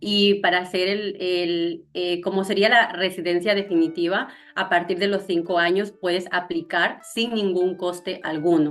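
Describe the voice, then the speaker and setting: A southern Ecuadorian accent at a fairly slow pace, in monotone, flat intonation with hardly any pauses. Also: woman, medium pitch for a woman. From Zamora Chinchipe, southern Ecuador. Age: young. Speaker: content creator. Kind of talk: interview answer.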